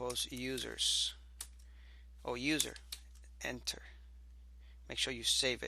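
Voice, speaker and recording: This man's very deep, low voice carries vocal fry and a bright, sharp tone, with very wide pitch swings. He talks at a very slow pace, leaving long, frequent pauses. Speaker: programming instructor. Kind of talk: screencast tutorial. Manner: casual, thinking aloud.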